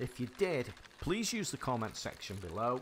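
A man speaks with an English accent. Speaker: gaming youtuber. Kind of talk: gameplay commentary. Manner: animated.

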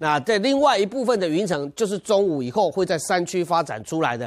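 The pace is fairly quick and the pitch swings very widely, over a quiet background. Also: man. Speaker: presenter. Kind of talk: TV weather forecast. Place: studio.

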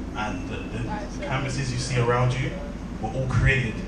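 Over loud background noise and audible room echo, a man talks at a moderate pace. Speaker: event host. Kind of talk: speech to an audience. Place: hall.

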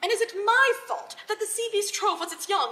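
A woman speaks in a raised, projected voice at a moderate pace. Her tone is bright and sharp. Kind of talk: dramatic reading of own piece. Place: hall. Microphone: camera far.

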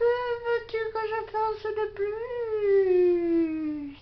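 In a cartoonish character voice, a woman speaks very slowly at an extremely high pitch. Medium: puppet.

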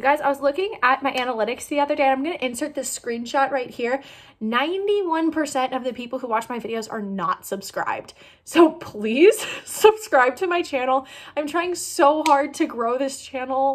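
Lively intonation and a moderate pace from a woman with a high-pitched voice. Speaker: youtuber. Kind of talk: casual vlog chat. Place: home room. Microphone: phone near.

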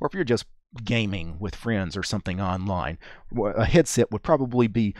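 Pitched fairly low, a man speaks with a slightly mellow tone.

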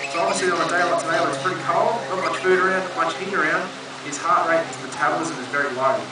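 A man with an Australian accent talks at a very fast pace. Loud background noise and audible room echo fill the recording. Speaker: wildlife sanctuary keeper. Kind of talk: educational wildlife talk to visitors. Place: open country.

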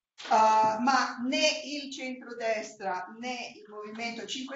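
A woman is speaking. Audible room echo and light background noise surround her voice. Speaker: moderator, Italian professor. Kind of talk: panel moderation. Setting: university room with video link. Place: meeting room. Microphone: video call.

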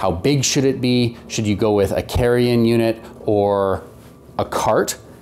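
Music plays behind a man as he talks. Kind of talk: casual explanatory vlog talk. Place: garage.

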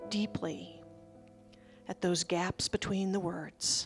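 Speaking at a very slow pace, a woman with a medium pitch uses a calm, soothing tone over faint music in the background. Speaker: minister leading a service. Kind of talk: guided meditation opening at a church service. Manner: calm, slow, soothing. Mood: calm, gentle, reverent. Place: church. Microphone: handheld.

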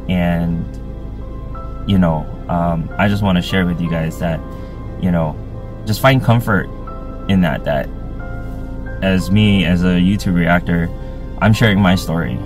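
Against clear background music, a man with a very deep, low pitch speaks at a fairly slow pace with lively intonation and long, frequent pauses. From Hawaii. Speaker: YouTube reactor. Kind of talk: personal testimony. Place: car. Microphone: phone near.

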